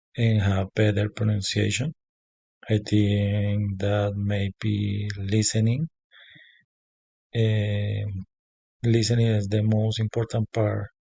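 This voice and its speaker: A man's fairly low, dark, mellow, somewhat breathy voice with a Spanish accent, very slow and monotone against a quiet background. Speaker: language student. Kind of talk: spoken class assignment. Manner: halting, many fillers.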